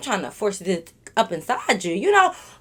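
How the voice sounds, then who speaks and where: A woman at a fairly quick pace. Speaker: YouTuber storyteller. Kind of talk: casual storytime monologue. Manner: fast; loud.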